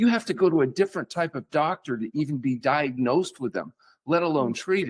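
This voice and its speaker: In a plain, everyday voice, the speaker goes at a fairly quick pace with lively intonation. The sound is dry and close with no echo, and the recording is very clean with a silent background. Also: man, fairly high pitch for a man. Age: 60s. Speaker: physician. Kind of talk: podcast interview.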